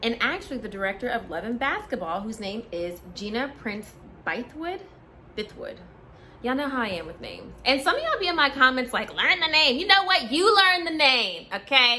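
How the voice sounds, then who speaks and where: Raised and projected, a woman's high voice moves at a fairly quick pace with very wide pitch swings and big swings in loudness over noticeable background noise. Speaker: movie reviewer vlogger. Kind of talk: casual vlog review. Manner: chatty, animated.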